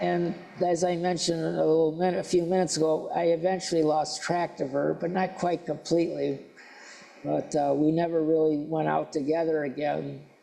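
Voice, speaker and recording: With audible room echo, a man talks at a fairly quick pace in a very even loudness. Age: 70s. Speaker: lay speaker at a church service. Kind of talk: sermon. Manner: halting.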